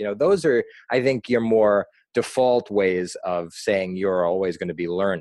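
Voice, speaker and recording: A fairly low male voice with an American accent at a moderate pace, a plain, everyday voice over a quiet background. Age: 30s. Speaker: nonprofit founder, anti-bullying advocate. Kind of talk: interview.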